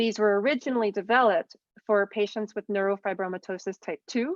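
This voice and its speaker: Her pitch sits mid-range for a woman, and her intonation stays fairly level. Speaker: physician, ear surgeon. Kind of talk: lecture. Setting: video call. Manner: fast.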